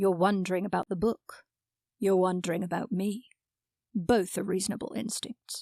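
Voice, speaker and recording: A woman's put-on character voice, resonant and medium-pitched, with fairly even intonation and a moderate pace. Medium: audio drama. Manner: calm, unhurried, certain.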